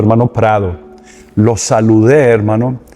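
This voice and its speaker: A man at a fairly slow pace and a medium pitch, with music in the background. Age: 60s. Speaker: podcast host and minister. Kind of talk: interview conversation.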